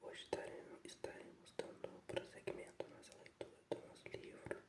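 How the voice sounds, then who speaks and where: The speech is whispered. It moves at a moderate pace. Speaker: ASMR reader. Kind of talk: whispered ASMR book reading. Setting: relaxing sleep-aid video. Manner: whispered, soft.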